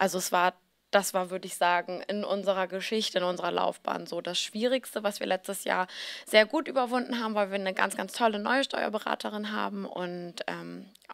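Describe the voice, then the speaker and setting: Behind this female speaker, everything is quiet. She talks fairly quickly, her pitch varying in an ordinary way. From Hamburg, northern Germany; Germany. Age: 30s. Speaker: fashion blogger and founder; fashion blogger. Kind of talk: interview. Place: hall. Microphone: handheld.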